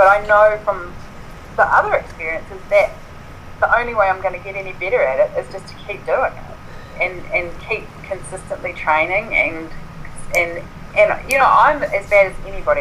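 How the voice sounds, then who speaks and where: With a New Zealand accent, a woman talks over noticeable background noise. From New Zealand, Southland (Invercargill). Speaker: writer and ultra runner. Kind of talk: interview.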